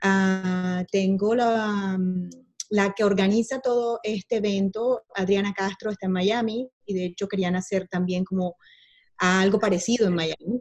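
A woman speaks at a fairly slow pace in an unremarkable speaking voice, medium in pitch with fairly even intonation. The sound is dry and close, with no echo. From Barranquilla, Colombia. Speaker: wedding professional. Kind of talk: online panel discussion.

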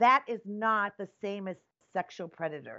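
A woman with an American accent speaks in a normal speaking voice at a medium pitch and moderate pace. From US Midwest, Wisconsin. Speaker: activist nun and cannabis product maker. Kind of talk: interview conversation.

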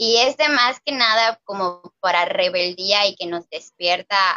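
In a normal speaking voice, a woman talks fairly slowly at a medium pitch with ordinary pitch variation. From Mexico, Mérida (Yucatán). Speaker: book discussion panelist. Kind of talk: casual book discussion.

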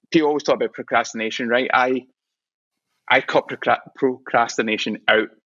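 A man speaks in a Scottish accent with fairly even intonation. He leaves long, frequent pauses. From Scotland. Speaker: visual artist. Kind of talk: casual chat. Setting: studio. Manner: fast.

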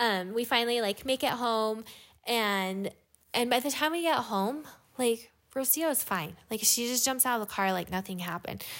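A woman with an American accent has a plain, everyday voice at a fairly high pitch, with ordinary pitch variation. She keeps a moderate pace on a very clean recording with a silent background. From Utah. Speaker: mother of eleven, podcast co-host. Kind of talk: casual chat.

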